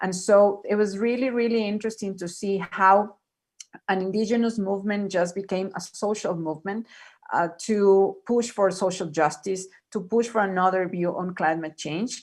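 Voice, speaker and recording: With a Spanish accent, a woman speaks at a medium pitch using fairly even intonation. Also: moderate pace. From Ecuador. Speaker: panelist. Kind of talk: panel discussion. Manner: halting, many repetitions.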